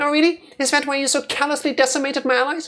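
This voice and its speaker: Delivered at a very fast pace, the put-on character voice sits at a high pitch. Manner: haughty, angry.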